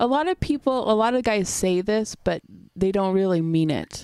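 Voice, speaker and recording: This woman has a normal speaking voice with ordinary pitch variation, talking at a moderate pace in a dry, close sound with no echo. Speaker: podcast host. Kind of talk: casual chat.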